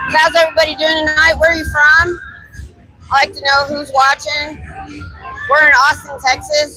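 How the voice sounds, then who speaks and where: With music in the background, a woman projects a raised voice at a high pitch and moderate pace, keeping fairly even intonation while her loudness swings widely and long pauses come often. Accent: American. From Ohio. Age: 50s. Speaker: street activist and live streamer. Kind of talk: live street stream chat. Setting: outdoors on busy bar street.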